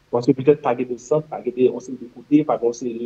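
A man's medium-pitched, somewhat breathy voice. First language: Haitian Creole (speaking French). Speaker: general practitioner. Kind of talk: interview. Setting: studio.

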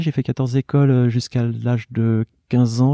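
A man speaks at medium pitch with a dark, mellow tone and fairly even intonation. The sound is dry and close with no echo, over a quiet background. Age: 50s. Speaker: artist and illustrator. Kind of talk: interview. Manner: halting.

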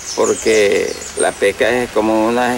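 Medium pitch from a man, with noticeable background noise behind it. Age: 70s. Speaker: rural elder interviewee. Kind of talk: documentary interview.

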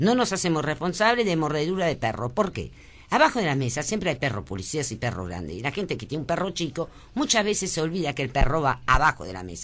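Talking at a very fast pace, a woman with a very deep, low voice and vocal fry swings her pitch very widely. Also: big swings in loudness. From born in Lebanon, French family. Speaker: businesswoman. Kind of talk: radio interview. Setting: radio studio.

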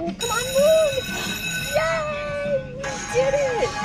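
Over loud background music, a woman talks at a very slow pace. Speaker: slot gaming vlogger. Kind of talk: casual vlog chat. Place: hall. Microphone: phone near.

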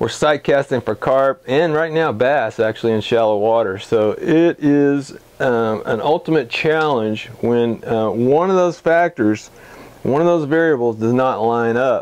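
Speaking at a fairly slow pace, a man keeps his loudness very even while his pitch varies in an ordinary way. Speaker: fly fishing guide. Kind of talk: casual vlog report. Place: office. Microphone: lapel.

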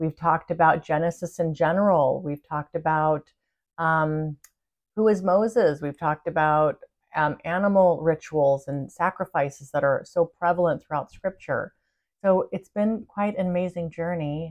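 A woman with a plain, everyday voice and a fairly low pitch speaks at a moderate pace against a quiet background. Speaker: spiritual channel host. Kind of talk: casual vlog chat. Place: home room. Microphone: phone near.

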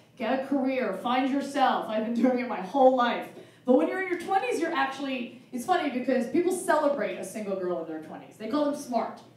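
A woman's high, fairly quick speech with hardly any pauses, very wide pitch swings and big swings in loudness, with audible room echo. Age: 40s. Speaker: stand-up comedian. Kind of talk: stand-up. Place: stage.

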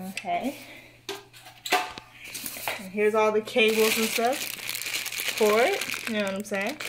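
Someone speaks with an American accent at a very slow pace. Loud background noise fills the recording. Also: woman, fairly high pitch for a woman. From Southern California. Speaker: tech YouTuber; home unboxing vlogger. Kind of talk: casual unboxing vlog; casual vlog chat. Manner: animated. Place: home room. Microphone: phone near.

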